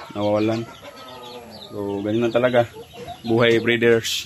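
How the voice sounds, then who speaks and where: Against noticeable background noise, a man speaks at medium pitch. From Bohol, Visayas, Philippines. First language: Cebuano (Bisaya) (speaking Tagalog). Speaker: backyard chicken breeder vlogger. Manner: halting, many fillers.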